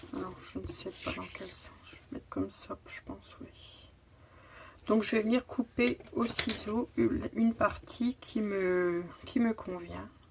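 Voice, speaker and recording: Over noticeable background noise, a woman speaks at a very slow pace. Her loudness swings widely. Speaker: crafting youtuber. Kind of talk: tutorial. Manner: halting.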